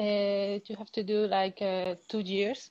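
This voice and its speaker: A woman speaks with a Spanish accent at a very slow pace. Her pitch is fairly high, and the sound is dry and close with no echo. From Cuba. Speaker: dancer. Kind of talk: interview. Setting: live Instagram stream. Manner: halting.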